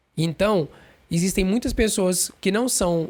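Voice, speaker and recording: Recorded very cleanly against a silent background, a man speaks at high pitch and a fairly slow pace with ordinary pitch variation. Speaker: podcast host. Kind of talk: casual monologue. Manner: hesitant, many fillers.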